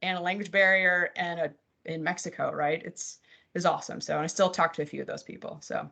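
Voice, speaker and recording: Against a quiet background, a woman with an American accent speaks loudly at a fairly quick pace, her medium-pitched voice bright and sharp in tone. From New Jersey, US. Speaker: mortgage company compliance executive. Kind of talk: interview on live webcast. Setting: live webcast. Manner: animated.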